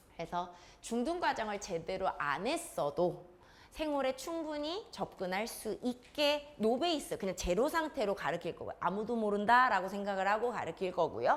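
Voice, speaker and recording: At a moderate pace, a woman speaks in a fairly high voice with very wide pitch swings. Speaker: science academy teacher. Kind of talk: information session talk to parents.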